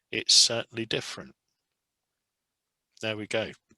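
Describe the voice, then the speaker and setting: This man has an English accent and a bright, sharp tone at a medium pitch, with ordinary pitch variation. The sound is dry and close, with no echo. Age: 70s. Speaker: test pilot. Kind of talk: lecture. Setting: video call.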